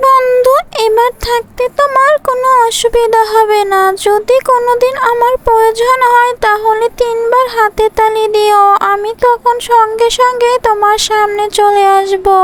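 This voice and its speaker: A woman uses a cartoonish character voice. Her pitch is extremely high. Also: fairly slow pace. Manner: warm, reassuring.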